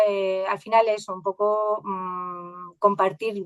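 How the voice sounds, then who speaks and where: A woman speaks in an Andalusian accent at a medium pitch. Her intonation stays fairly even against a quiet background. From Andalusia, Spain. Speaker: AI educator and science communicator. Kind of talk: podcast interview. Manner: halting.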